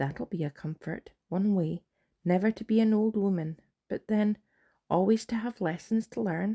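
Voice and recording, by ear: Against a quiet background, someone reads aloud in a natural voice, with pitch that varies in an ordinary way.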